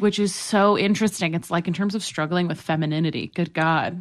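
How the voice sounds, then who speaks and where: A woman with an American accent and a normal speaking voice, fairly low in pitch, at a fairly quick pace with fairly even intonation. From New York City. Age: 20s. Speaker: comedian and writer. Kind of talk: casual chat.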